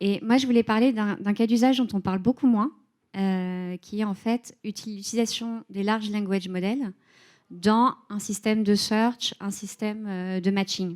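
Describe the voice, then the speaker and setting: The woman talks at a medium pitch and fairly slow pace with fairly even intonation, in a very clean recording with a silent background. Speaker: head of data and AI at a tech company. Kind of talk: conference talk. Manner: hesitant, many filler sounds.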